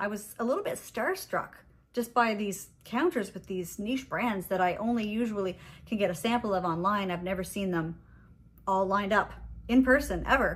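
Moderate pace and a somewhat breathy voice, with ordinary pitch variation. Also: woman. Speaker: fragrance vlogger. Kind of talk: casual vlog chat. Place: home room. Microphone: phone near.

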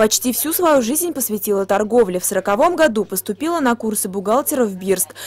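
A fairly high-pitched woman talks at a fairly quick pace with lively intonation. She has an unremarkable speaking voice. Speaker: TV news reporter. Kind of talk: local TV news narration.

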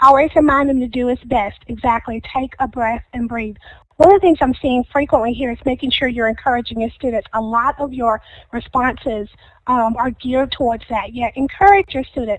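A woman speaks in a high pitch with ordinary pitch variation. The background is quiet. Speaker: school staff presenter at parent meeting. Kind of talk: online parent meeting, reading and responding to chat. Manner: conversational, upbeat.

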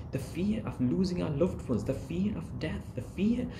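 A male speaker keeps a medium tempo as noticeable noise runs behind him. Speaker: imam. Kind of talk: sermon. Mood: earnest, calm. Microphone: phone near.

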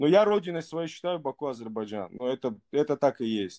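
A man talks at a moderate pace with very wide pitch swings. The background is quiet. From Baku, Azerbaijan; Azerbaijan. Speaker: caller. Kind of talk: casual chat. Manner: halting. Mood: earnest, warm, affirming. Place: home room. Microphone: video call.

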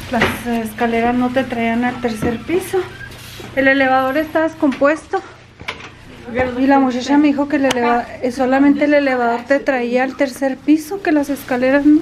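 Against noticeable background noise, a woman talks at a high pitch and fairly slow pace with ordinary pitch variation. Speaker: family vlogger. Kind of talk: casual vlog chat. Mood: mildly annoyed, complaining. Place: hall. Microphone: phone near.

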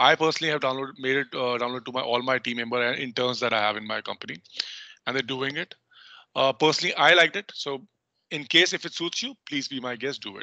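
A man with an Indian accent talks very fast in a bright, sharp tone with ordinary pitch variation, the sound dry with no echo and the background quiet. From North India. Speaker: legal research software trainer. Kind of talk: online training tutorial. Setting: video call. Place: home room. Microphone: headset.

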